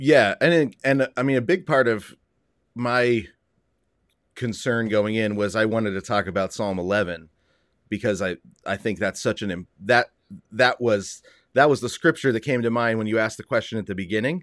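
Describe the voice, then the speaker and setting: At a moderate pace and medium pitch, a man talks with ordinary pitch variation and long, frequent pauses in a dry, close sound with no echo. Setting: video call.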